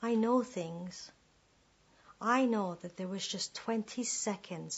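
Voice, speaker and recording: A woman speaks somewhat breathily at a fairly slow pace, her intonation fairly even. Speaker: performance poet. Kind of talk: spoken word performance.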